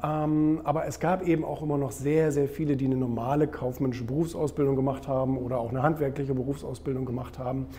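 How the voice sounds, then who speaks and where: With audible room echo and noticeable background noise, a man speaks at a very fast pace and fairly high pitch, his intonation fairly even and hardly any pauses. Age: 30s. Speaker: publisher and author. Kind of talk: interview.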